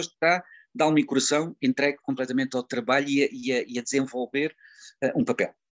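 A man's voice sits fairly high and moves at a moderate pace. Lively intonation runs through his speech. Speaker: actor and retired teacher. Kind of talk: interview. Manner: halting.

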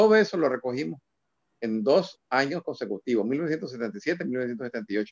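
At a very slow pace, a man speaks at medium pitch with very wide pitch swings. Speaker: cultural promoter and journalist. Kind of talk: casual interview.

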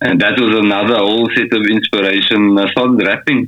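A man with an ordinary speaking voice talks fairly quickly at a medium pitch. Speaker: singer-songwriter. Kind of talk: casual interview chat. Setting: video call from Austria.

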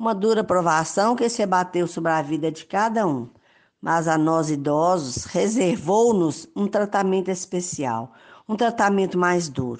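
A woman talks at a fairly slow pace in a fairly low pitch. She has a plain, everyday voice over a quiet background. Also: lively intonation. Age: 60s. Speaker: retired teacher, parish volunteer. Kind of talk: prepared testimony. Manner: formal.

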